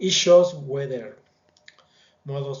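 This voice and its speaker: Room echo is audible as a man speaks with a non-native accent at a moderate pace. His voice is fairly high and somewhat breathy. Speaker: student presenting a project. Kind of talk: project presentation. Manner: halting, with fillers.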